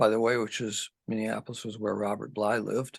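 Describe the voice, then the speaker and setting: A man's fairly low, monotone voice with flat intonation, dry and close with no echo, over a quiet background. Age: 70s. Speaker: poet. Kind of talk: interview conversation. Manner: halting, many fillers.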